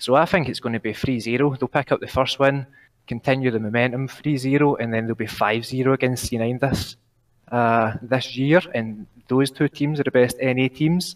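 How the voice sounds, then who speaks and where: In a Glaswegian accent, a man of medium pitch speaks at a moderate pace with a dry, close sound and no echo. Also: fairly even intonation. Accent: Glaswegian Scottish. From Glasgow. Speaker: caller. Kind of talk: casual chat. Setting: online call.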